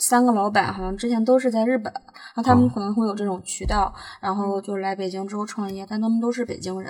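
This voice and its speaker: The speech comes at a very fast pace. Noticeable background noise is present. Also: woman, medium pitch for a woman, ordinary pitch variation. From Northeast China. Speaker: food blogger. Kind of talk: casual chat. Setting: in a car.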